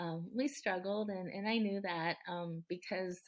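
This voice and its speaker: A moderate pace and fairly even intonation in a Californian accent. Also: woman. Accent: Californian American English. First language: Japanese. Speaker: city council member and former mayor. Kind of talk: podcast interview. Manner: halting, many fillers.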